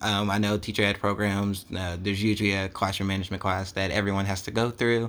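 At a fairly quick pace, a man speaks in a fairly low voice with monotone, flat intonation. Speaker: high school English teacher and podcast co-host. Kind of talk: casual chat. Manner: halting.

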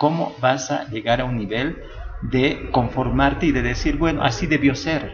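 A man is talking over noticeable background noise. Room echo can be heard around his voice. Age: 40s. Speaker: LGBT rights activist. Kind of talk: interview. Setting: La Paz.

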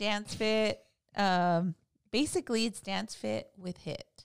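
A woman at a very slow pace, the sound dry and close with no echo. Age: 30s. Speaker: host's wife, mother. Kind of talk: casual chat.

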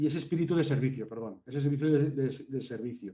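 Male speech, somewhat breathy, with pitch varying in an ordinary way. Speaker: hotel general manager. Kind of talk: interview.

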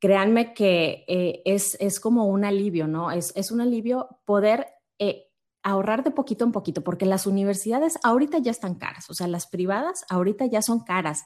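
A woman's medium-pitched voice with lively intonation. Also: moderate pace. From Monterrey, Mexico. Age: 30s. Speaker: insurance advisor. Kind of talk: interview.

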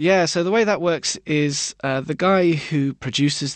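A man with a British accent keeps a moderate pace. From Britain. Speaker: music journalist. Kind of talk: interview.

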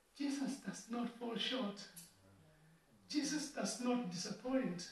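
A man talks at a very slow pace with long, frequent pauses and ordinary pitch variation. His pitch is extremely high, and the room echo is audible. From Kenya. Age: 40s. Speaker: preacher. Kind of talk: sermon.

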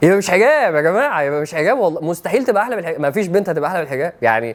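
A man with a high pitch, an animated tone and lively intonation, over noticeable background noise. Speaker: Islamic preacher. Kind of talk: religious lecture.

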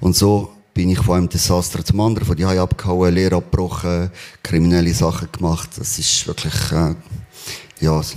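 Over noticeable background noise, a man with a very deep, low voice speaks fairly quickly with fairly even intonation. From Spain. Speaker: church member sharing testimony. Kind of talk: testimony. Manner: halting.

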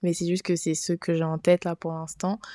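A woman talks in a fairly low voice with a dark, mellow tone. The sound is dry and close, with no echo. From Niger. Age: 20s. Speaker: podcast host. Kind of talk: casual monologue. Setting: home recording with friends.

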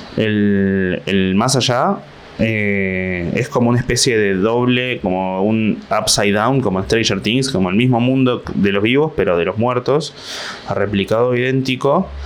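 In a Rioplatense accent, a man speaks at medium pitch and a fairly slow pace with ordinary pitch variation. His loudness stays very even, and there is noticeable background noise. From Buenos Aires, Argentina. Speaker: stand-up comedian. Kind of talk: comedic solo monologue.

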